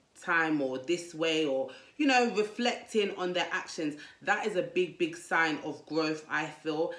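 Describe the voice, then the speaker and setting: A woman's fairly low voice with ordinary pitch variation and audible room echo. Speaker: dating advice vlogger. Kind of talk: casual vlog advice talk. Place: home room. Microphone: lapel.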